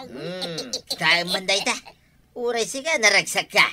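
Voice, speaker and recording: Someone in a put-on character voice talks fairly slowly at a fairly high pitch. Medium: audio drama. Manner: bright, upbeat.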